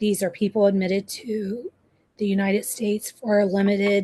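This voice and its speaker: The sound is dry and close with no echo as a woman speaks in a somewhat breathy voice. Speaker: nursing student. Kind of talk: reading aloud.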